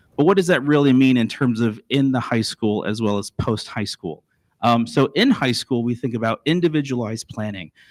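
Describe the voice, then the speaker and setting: A man with a slight Texan accent talks at a fairly quick pace and a medium pitch. His pitch varies in an ordinary way, and the sound is dry and close with no echo. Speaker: school district administrator. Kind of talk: presentation to school board. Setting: board meeting at podium. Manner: halting, frequent fillers and restarts.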